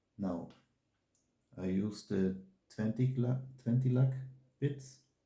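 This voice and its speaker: Very slow and somewhat breathy, a man with a non-native accent speaks at medium pitch in a dark, mellow tone with ordinary pitch variation, and audible room echo around him. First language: not English. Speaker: watch tool reviewer. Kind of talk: product review tutorial. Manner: halting, self-correcting.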